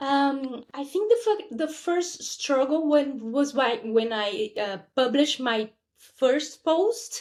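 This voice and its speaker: A woman with a Portuguese accent and a high pitch speaks at a very slow pace. Her pitch swings very widely, and she hardly pauses at all. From Brazil. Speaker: podcast guest. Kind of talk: casual chat.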